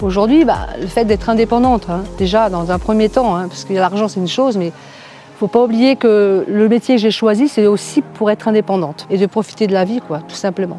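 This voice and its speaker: Music plays in the background as a woman talks at a fairly quick pace and medium pitch, with ordinary pitch variation. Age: 60s. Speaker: real estate agent. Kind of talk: testimony. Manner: hesitant, many fillers.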